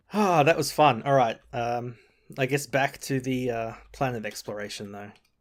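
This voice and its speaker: A man speaks at medium pitch and a moderate pace. His pitch varies in an ordinary way, while his loudness swings a lot. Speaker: gaming video creator. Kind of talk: gameplay commentary. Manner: animated.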